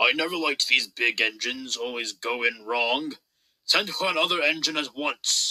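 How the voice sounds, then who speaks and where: A man puts on a character voice with a raised, projected delivery, a fairly high pitch and lively intonation. His moderate pace is heard in a dry, close sound with no echo. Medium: read story. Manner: pompous.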